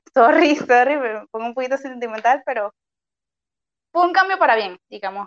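A woman speaks at a high pitch and moderate pace with lively intonation. Her speech has long, frequent pauses. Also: dry, close sound with no echo. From Venezuela, Maracay. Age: 20s. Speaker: doctor. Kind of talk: interview.

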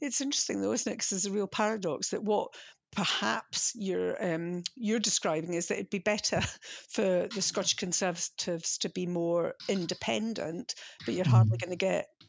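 At a fairly quick pace, a woman with a normal speaking voice uses lively intonation. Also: medium pitch for a woman. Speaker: podcast host and magazine editor. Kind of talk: casual political discussion podcast.

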